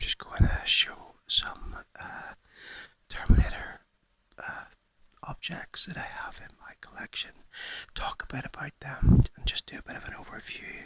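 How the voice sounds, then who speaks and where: The speaker whispers fairly slowly, with long pauses that come often. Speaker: toy collector YouTuber. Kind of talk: whispered ASMR show-and-tell. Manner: whispering; halting with fillers.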